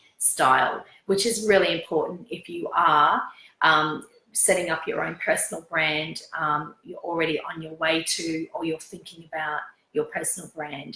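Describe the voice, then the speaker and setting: A woman with an Australian accent and a fairly low pitch. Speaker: fashion stylist. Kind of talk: interview. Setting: sitting on a sofa at home. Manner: hesitant with fillers.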